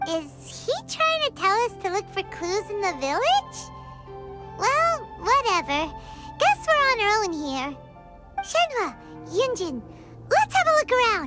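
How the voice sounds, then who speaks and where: Over loud music in the background, an extremely high-pitched put-on character voice talks at a fairly slow pace with long, frequent pauses. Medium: video game. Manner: casual, reactive.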